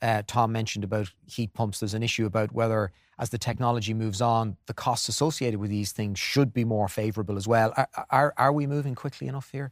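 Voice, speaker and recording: Recorded very cleanly against a silent background with a dry, close sound and no echo, a man talks at a very fast pace with hardly any pauses and fairly even intonation. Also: medium pitch for a man. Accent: Irish. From Ireland. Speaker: event moderator, broadcaster. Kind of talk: event moderation. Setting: live event studio.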